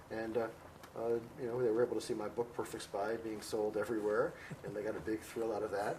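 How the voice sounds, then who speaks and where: With an American accent, a man talks at a very fast pace in a medium pitch. Noticeable background noise sits behind him. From United States. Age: 60s. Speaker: professor and author on Vietnam. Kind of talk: interview. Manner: halting, many fillers.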